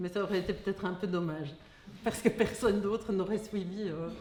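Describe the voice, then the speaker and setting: A woman's medium-pitched voice at a fairly quick pace, fairly even intonation, audible room echo and noticeable background noise. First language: German (speaking French). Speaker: philosopher of science. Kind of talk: lecture read from text. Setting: hall with audience. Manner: reading aloud.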